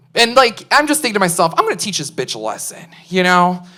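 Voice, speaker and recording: Speaking in a Chicago accent, a woman talks at a fairly quick pace with very wide pitch swings. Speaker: stand-up comedian. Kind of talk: stand-up. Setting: stage with audience.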